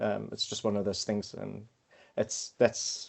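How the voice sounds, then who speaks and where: The speaker is a man with a South African accent. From South Africa, Cape Town. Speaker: quantity surveyor and consultant team lead. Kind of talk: podcast interview. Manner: halting, many fillers and repetitions.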